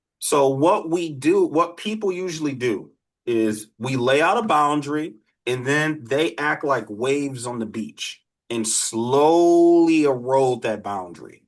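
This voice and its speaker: In a quiet background, a man with an American accent and a plain, everyday voice speaks at a fairly slow pace, his fairly high pitch moving with lively intonation. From Detroit, US Midwest. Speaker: criminologist and dating coach. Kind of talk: live online workshop with Q&A.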